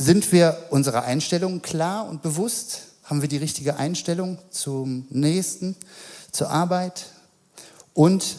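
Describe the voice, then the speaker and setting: Very slowly and with long, frequent pauses, a man speaks in a dark, mellow tone at a fairly high pitch with lively intonation. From Mettmann, Rhineland, Germany. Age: 40s. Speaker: childcare worker. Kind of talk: sermon. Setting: church. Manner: halting, many fillers.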